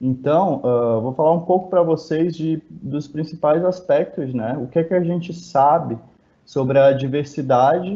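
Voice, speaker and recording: Speaking in a northeastern Brazilian accent, a man talks at a fairly slow pace, fairly high in pitch, with ordinary pitch variation. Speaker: biologist researcher. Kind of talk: lecture.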